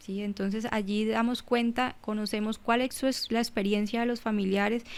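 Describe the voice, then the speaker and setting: At a moderate pace, a woman speaks with a fairly high pitch and monotone, flat intonation. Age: 30s. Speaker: psychologist and human rights defender. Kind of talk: interview. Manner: halting.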